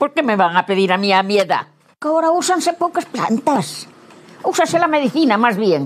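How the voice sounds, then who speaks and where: In an Asturian accent, a woman talks with very wide swings in pitch. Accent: rural Asturian Spanish. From Asturias, rural western Asturias. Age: 80s+. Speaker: elderly villager. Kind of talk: interview. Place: garden. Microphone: lapel.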